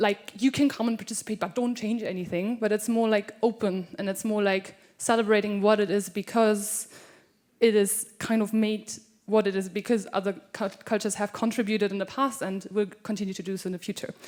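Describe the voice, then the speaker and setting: A woman with a German accent talks at a fairly quick pace and medium pitch, in a monotone, flat intonation. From Germany, Cologne. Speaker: scholarship participant, performer. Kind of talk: introducing a performance on stage. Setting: stage with audience.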